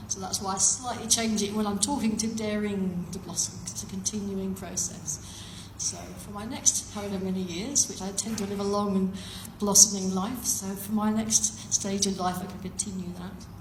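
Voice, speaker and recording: With noticeable background noise around her, a woman talks at a moderate pace. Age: 60s. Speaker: life coach. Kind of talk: conference talk.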